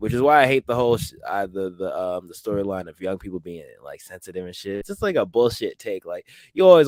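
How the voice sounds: Speaking at a fast pace, a man has a slightly mellow tone.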